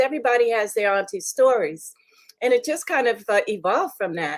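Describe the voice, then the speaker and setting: High pitch and lively intonation from a woman. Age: 70s. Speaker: filmmaker and film festival founder. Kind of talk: interview. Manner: halting, many fillers.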